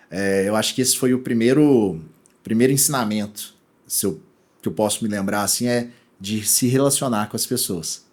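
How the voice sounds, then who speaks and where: Recorded very cleanly against a silent background, a man with a Minas Gerais accent speaks at a moderate pace, his fairly low pitch showing ordinary variation. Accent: mineiro. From Brazil, Minas Gerais (Belo Horizonte). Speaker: e-commerce executive. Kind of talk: interview podcast. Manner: casual, many fillers and restarts.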